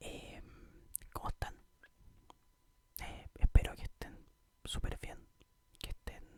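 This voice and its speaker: Whispering very slowly, a man leaves long, frequent pauses between his words. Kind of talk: casual greeting to viewers.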